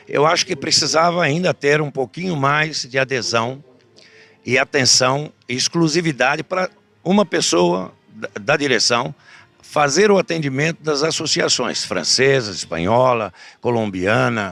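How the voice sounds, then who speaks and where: Over music in the background, a man talks with a fairly high pitch and lively intonation, his sound dry and close with no echo. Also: fairly slow pace. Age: 60s. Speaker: horse breeders' association president and auctioneer. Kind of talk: interview. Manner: halting, with fillers.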